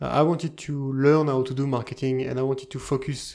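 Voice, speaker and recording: A man in a French accent, flat and monotone throughout. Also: very clean recording, silent background. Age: 40s. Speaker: indie software entrepreneur. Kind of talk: casual chat. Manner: halting.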